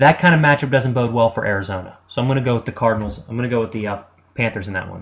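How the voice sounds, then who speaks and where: A man races along at a very fast pace, his medium pitch showing ordinary variation. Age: 20s. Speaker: sports radio host. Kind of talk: sports talk monologue. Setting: web radio studio. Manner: animated.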